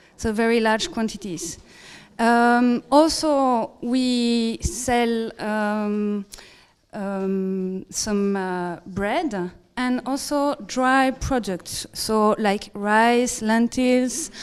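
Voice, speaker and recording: A woman's fairly high voice with a non-native accent, ordinary pitch variation and a very slow pace. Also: very clean recording, silent background. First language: not English. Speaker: organic food market operator, conference presenter. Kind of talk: conference presentation. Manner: halting, many fillers and self-corrections.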